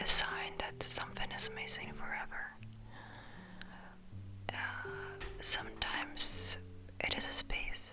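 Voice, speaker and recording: A woman whispers at a very slow pace. Music plays behind her. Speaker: ASMR creator. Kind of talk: ASMR personal attention comfort talk, sleep aid. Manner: soft, gentle, slow, reassuring.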